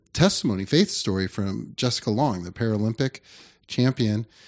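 Against a quiet background, a man speaks in a plain, everyday voice with ordinary pitch variation. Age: 40s. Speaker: youth pastor. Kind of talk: casual chat.

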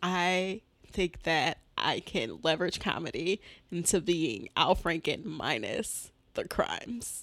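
A woman with an American accent speaks at a very slow pace with lively intonation and vocal fry, captured in a very clean recording with a silent background. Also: fairly low pitch for a woman. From Detroit, Michigan. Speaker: comedian. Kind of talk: casual chat. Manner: laughs often.

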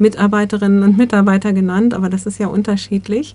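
An unremarkable speaking voice, a woman's, fairly quick and medium in pitch. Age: 60s. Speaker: volunteer coordinator, social worker. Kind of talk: interview.

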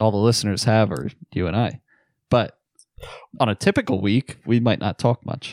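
A man with an American accent speaks in a fairly low voice at a moderate pace, using ordinary pitch variation and long, frequent pauses, in a very clean, dry, close recording with no echo and a silent background. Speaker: podcast co-host. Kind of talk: casual chat.

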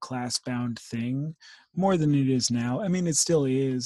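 This is plain reading aloud, and its pitch shifts in an ordinary manner.

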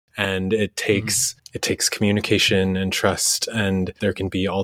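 A man talks at a fairly low pitch in a monotone, flat intonation. The sound is dry and close with no echo. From Vancouver, Canada (born in Indonesia). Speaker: podcast co-host. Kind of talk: casual interview conversation.

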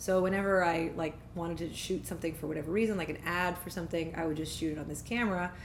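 With a Canadian accent, a woman talks very fast at a fairly low pitch amid audible room echo. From Ottawa, Canada. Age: 30s. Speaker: singer-songwriter and vocal coach. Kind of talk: casual interview chat. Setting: at parents' home.

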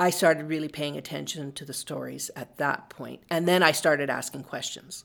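With a western Canadian accent, a woman speaks at a moderate pace in a very deep, low pitch with vocal fry, monotone, flat intonation, big swings in loudness and hardly any pauses. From western Canada, Calgary. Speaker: writer and filmmaker. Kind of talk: interview.

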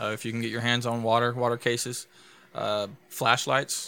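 With a Louisiana accent, a man speaks in a bright, sharp tone with monotone, flat intonation. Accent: Louisiana Southern US. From DeRidder, Louisiana. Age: 20s. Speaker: EMT and podcast co-host. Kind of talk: casual chat.

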